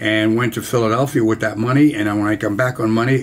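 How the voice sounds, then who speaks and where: Against noticeable background noise, a man with a medium-pitched voice talks at a fairly quick pace. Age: 80s+. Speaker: war veteran. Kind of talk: storytelling.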